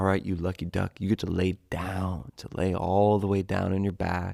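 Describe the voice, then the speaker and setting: Soft-spoken and gentle in tone, a man speaks at a fairly slow pace with a very deep, low pitch and fairly even intonation, in a dry, close sound with no echo. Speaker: yoga teacher. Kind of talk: guided yoga class. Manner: soft-spoken, gentle.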